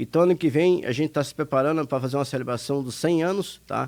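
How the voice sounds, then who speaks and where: A man's intonation here is lively. His pace is fairly quick. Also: very clean recording, silent background. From Brazil, Minas Gerais. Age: 60s. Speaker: retired industry administrator, charity director. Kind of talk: radio interview.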